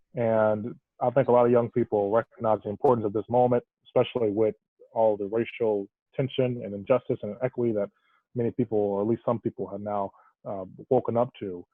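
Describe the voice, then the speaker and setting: At a very fast pace, a man talks in a monotone, flat intonation at medium pitch. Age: young. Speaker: student moderator. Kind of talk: panel discussion.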